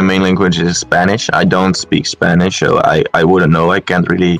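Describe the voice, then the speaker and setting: Over music in the background, a man speaks at a moderate pace in a very deep, low pitch. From Netherlands. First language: Dutch. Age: 20s. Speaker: competitive gamer. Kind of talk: casual chat. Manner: halting.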